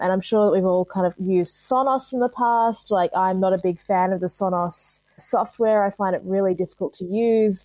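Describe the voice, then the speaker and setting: The voice carries an Australian accent and a dark, mellow tone. Intonation stays fairly even, with hardly any pauses. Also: woman, medium pitch for a woman, moderate pace. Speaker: commercial creative. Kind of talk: casual chat.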